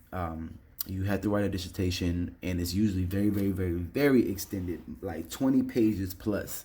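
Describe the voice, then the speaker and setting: A man speaks with a very deep, low pitch. His tone is dark and mellow and somewhat breathy. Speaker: online English instructor. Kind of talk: tutorial. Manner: fast; casual with filler words.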